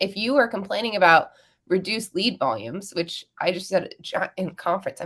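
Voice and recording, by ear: Using a put-on character voice, a woman speaks at a fairly quick pace and a medium pitch. Her voice is raspy and hoarse, with ordinary pitch variation.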